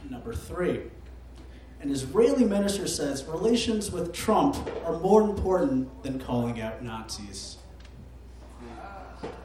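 A man with an American accent, at a fairly slow pace, with long, frequent pauses, big swings in loudness, noticeable background noise, and audible room echo. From Michigan. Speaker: game host. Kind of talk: comedy quiz game. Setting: stage with audience. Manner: hesitant.

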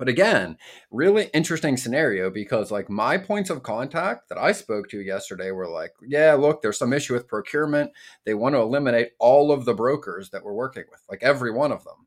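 Pitch swings very widely as this man talks. His voice is medium in pitch and his pace fairly quick. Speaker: podcast co-host, freight broker. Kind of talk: casual podcast conversation. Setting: remote recording between two cities.

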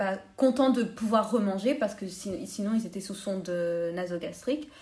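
A woman speaks at medium pitch and a fairly slow pace. Her voice is somewhat breathy. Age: 20s. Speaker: dental student. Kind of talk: interview.

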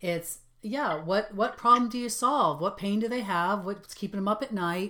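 Lively in intonation, a woman with a Boston accent speaks in a bright, sharp tone. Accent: Boston, drops R's. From Boston area. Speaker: podcast host. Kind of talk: interview.

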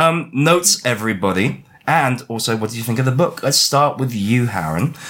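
The pitch swings very widely at a moderate pace. Noticeable background noise sits behind the voice. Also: man. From Chinese heritage. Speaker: book club podcast host. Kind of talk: casual chat. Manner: animated.

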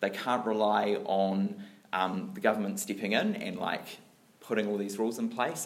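A man talks at a fairly quick pace with a New Zealand accent. Audible room echo and noticeable background noise fill the recording. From New Zealand, Dunedin. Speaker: lay church speaker. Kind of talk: sermon-style talk.

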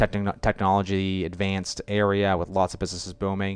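Talking at a very fast pace, a man keeps a monotone, flat intonation. His pitch is fairly low, and the recording is very clean with a silent background. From New Hampshire. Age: 30s. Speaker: marketing company founder. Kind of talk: interview.

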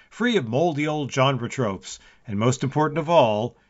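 The intonation rises and falls in a lively way. What is heard is plain reading aloud.

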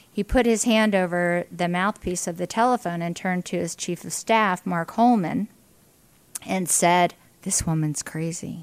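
An unremarkable speaking voice, a woman's with an American accent and a fairly low pitch, moves at a moderate pace with ordinary pitch variation on a very clean recording with a silent background. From western Pennsylvania (Indiana, PA). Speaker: business executive and party official. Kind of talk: casual interview. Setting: coffee shop.

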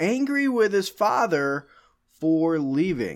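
This man's voice sits fairly high. He speaks at a very slow pace. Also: very clean recording, silent background. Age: 30s. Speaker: podcast host. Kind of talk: casual podcast chat.

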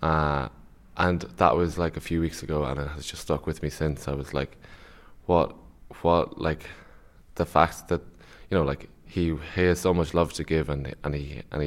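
Speaking in a northwest Irish accent, a man with a very deep, low pitch and vocal fry keeps his intonation fairly even in a very clean recording with a silent background. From Ireland, Sligo. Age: 20s. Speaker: university student. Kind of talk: radio interview. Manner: halting, many fillers and repetitions.

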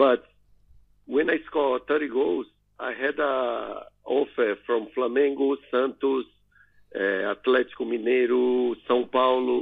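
Speaking at a very slow pace, a man has a Portuguese accent. His pitch is medium and his intonation fairly even. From northeast Brazil. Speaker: retired footballer. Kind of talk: interview. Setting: phone call. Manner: halting.

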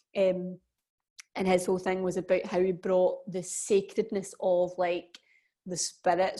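With a Glaswegian accent, a woman speaks at a medium pitch and a fairly slow pace, her tone dark and mellow. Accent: Glaswegian Scottish. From Scotland, Glasgow. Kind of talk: casual chat.

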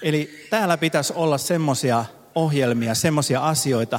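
A plain, everyday voice moves at a fairly slow pace with lively intonation. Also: man. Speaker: pastor. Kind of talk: sermon. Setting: church service with audience.

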